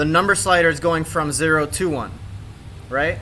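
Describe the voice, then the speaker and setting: A man talks at a moderate pace with a fairly high pitch. He has an unremarkable speaking voice. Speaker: workshop instructor. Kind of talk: tutorial.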